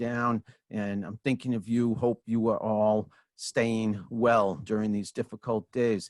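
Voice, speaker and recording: A man's normal speaking voice in an American accent, medium in pitch, at a fairly slow pace, dry and close with no echo, on a very clean recording with a silent background. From Franklin, Massachusetts. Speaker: podcast host. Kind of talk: casual talk to camera.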